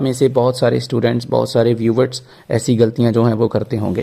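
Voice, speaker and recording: He has a somewhat breathy voice. The tone is dark and mellow. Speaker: IELTS teacher. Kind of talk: tutorial.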